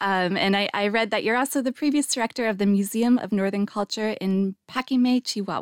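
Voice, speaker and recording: A woman with a Canadian accent and a plain, everyday voice speaks fairly quickly at a fairly high pitch, her loudness very even, in a dry, close sound with no echo on a very clean recording with a silent background. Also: ordinary pitch variation. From Canada. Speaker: podcast host and academic. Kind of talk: casual interview. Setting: studio.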